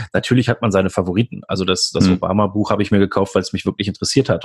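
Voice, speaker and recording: In a monotone with flat intonation, a man speaks at a fairly low pitch. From Germany, Lower Rhine (Mönchengladbach). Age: 40s. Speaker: doctor and hobby photographer, blogger. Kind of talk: casual interview chat. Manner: halting, many filler sounds.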